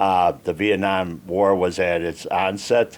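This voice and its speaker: A man talks with a strong Chicago accent. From Chicago, Northwest Side. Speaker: army veteran. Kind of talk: interview.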